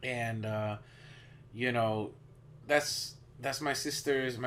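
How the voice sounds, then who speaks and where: The speaker is a man. He talks with a Spanish accent. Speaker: podcast host. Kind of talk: casual chat.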